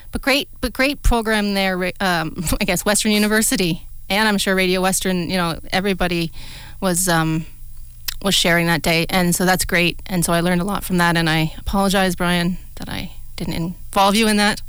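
An ordinary speaking voice comes through at a moderate pace with fairly even intonation. The speaker talks with a Canadian accent. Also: woman, medium pitch for a woman. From southwestern Ontario, Canada. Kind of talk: radio talk show, casual chat. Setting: radio studio.

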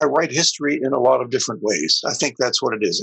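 An American accent from a man at medium pitch, with ordinary pitch variation and a dry, close sound with no echo. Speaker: historian and screenwriter. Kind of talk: casual interview conversation. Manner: hesitant, with fillers and restarts.

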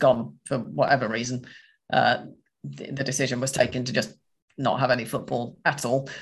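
A man with a somewhat breathy voice speaks at a moderate pace. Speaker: podcast host. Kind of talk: casual chat about football. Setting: video call.

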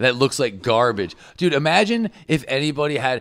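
An unremarkable speaking voice moves at a moderate pace with lively intonation on a very clean recording over a silent background. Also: man. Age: 30s. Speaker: comedian and video maker. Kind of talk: casual joking chat.

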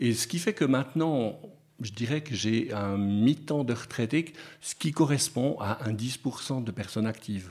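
A man speaks at a fairly slow pace in a medium pitch with ordinary pitch variation, on a very clean recording with a silent background. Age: 60s. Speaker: retired pastor. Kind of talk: radio interview. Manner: halting.

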